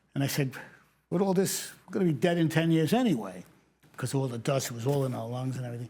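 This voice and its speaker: The speaker talks very fast with a New York accent, lively intonation and a dark, mellow, somewhat breathy tone. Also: man, medium pitch for a man. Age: 70s. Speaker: retired fire captain. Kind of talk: interview testimony.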